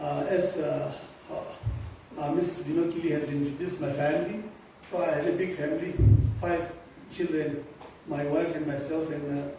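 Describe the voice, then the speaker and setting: Over noticeable background noise and audible room echo, a man speaks at a moderate pace with long, frequent pauses. His pitch is fairly high and his intonation fairly even. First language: Sumi. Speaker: church musician and speaker. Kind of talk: lecture. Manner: halting, many fillers.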